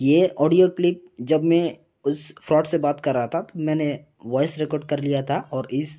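This is a man speaking. The background is quiet. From Assam, India. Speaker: vlogger warning about a scam. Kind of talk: casual vlog talk to camera. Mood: earnest warning.

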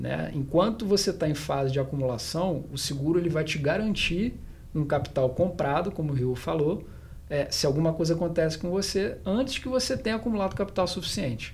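This man's high-pitched voice has lively intonation and moves at a fairly quick pace. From Rio de Janeiro, Brazil. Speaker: financial planner; guest. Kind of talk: panel discussion. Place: meeting room. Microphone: studio mic.

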